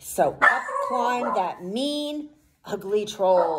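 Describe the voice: The clip consists of plain reading aloud.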